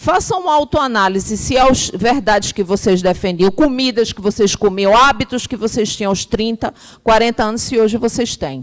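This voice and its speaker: A woman speaks in a plain, everyday voice at a fairly high pitch. Her pace is moderate, with hardly any pauses. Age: 50s. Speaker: spiritist lecturer. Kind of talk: lecture.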